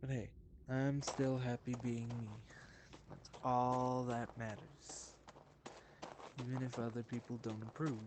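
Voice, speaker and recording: A man's medium-pitched voice, monotone and flat in intonation, at a fairly slow pace with long, frequent pauses. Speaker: gaming streamer. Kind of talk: live gameplay commentary.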